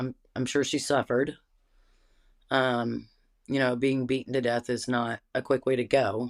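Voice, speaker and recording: Her voice is very deep and low for a woman, delivered at a moderate pace in a very clean recording with a silent background. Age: 30s. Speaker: interviewee. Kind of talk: interview.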